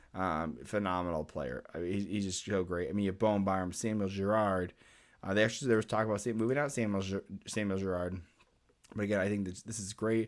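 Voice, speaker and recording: In a very clean recording with a silent background, a man with a fairly low pitch and ordinary pitch variation talks at a very fast pace. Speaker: hockey commentator YouTuber. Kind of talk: sports analysis monologue. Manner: hesitant with fillers.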